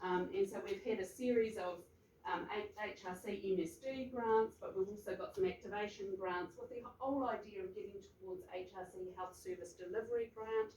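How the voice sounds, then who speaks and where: A woman with a New Zealand accent speaks at a medium pitch with fairly even intonation over noticeable background noise. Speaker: health researcher. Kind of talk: presentation at research forum. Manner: fast.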